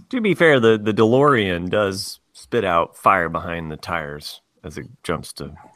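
A man with an unremarkable speaking voice talks at a fairly low pitch and a fairly slow pace, hardly pausing. His intonation is lively, and his loudness swings widely. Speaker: teacher. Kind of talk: casual chat. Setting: remote recording.

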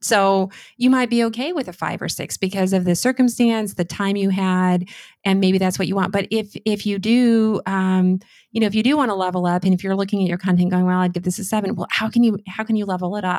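An unremarkable speaking voice, a woman's at medium pitch, moves at a fairly quick pace with fairly even intonation on a very clean recording with a silent background. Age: 40s. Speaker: speech coach. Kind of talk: interview.

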